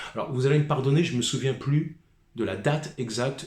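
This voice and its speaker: This man's voice is somewhat breathy. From Paris suburbs, France (Seine-Saint-Denis). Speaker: musician vlogger. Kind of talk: rant monologue.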